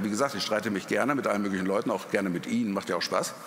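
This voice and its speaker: Very fast speech amid noticeable background noise and audible room echo. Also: man. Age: 50s. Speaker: journalist. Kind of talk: panel discussion. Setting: stage with audience.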